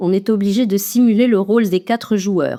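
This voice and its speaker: A woman talks at a fairly slow pace in a dark, mellow tone with fairly high pitch. The recording is very clean, with a silent background. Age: 60s. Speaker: retired teacher. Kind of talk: testimony.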